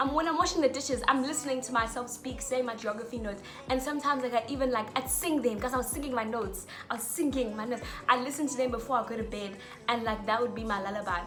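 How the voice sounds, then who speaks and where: Over music in the background and audible room echo, a woman with a high pitch talks at a very fast pace in an animated tone with ordinary pitch variation. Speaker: student vlogger. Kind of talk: casual tutorial vlog.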